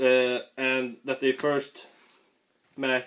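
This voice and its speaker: The speaker has a Swedish accent. The pace is very slow. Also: man. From Sweden. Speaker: comic book reviewer. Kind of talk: casual review video. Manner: halting.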